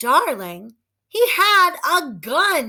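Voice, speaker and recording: In a put-on character voice, a woman reaches an extremely high pitch with very wide pitch swings. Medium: read story. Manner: warm, affectionate.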